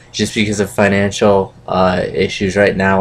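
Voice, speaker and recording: Over noticeable background noise, a man speaks fairly slowly in a very deep, low, monotone voice with flat intonation. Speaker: wrestling recap vlogger. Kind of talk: casual vlog recap. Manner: hesitant, many fillers.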